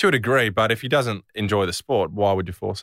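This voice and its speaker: In a very clean recording with a silent background and a dry, close sound with no echo, a man with an Australian accent speaks very fast at a fairly low pitch with ordinary pitch variation. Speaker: professional footballer and podcast co-host. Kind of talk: casual chat.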